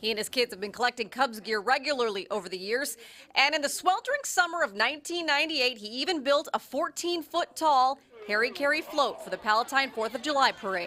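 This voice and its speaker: Raised and projected, the voice races at a very fast pace with lively intonation and a bright, sharp tone. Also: woman, high pitch for a woman. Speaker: TV news reporter. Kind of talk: TV news narration.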